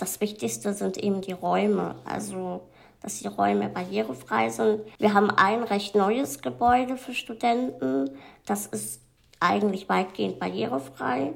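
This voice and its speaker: A woman speaks with a very deep, low pitch. She moves at a fairly slow pace, her pitch swinging very widely. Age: 20s. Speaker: medical student. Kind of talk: casual interview. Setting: seated in wheelchair.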